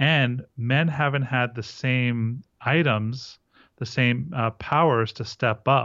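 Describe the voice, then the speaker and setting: With a normal speaking voice, a man talks at a medium pitch using fairly even intonation. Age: 40s. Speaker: men's relationship coach. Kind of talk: interview.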